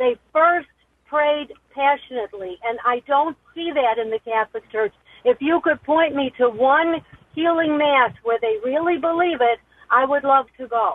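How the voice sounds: A woman speaks at a high pitch with ordinary pitch variation, the sound dry and close with no echo. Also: moderate pace.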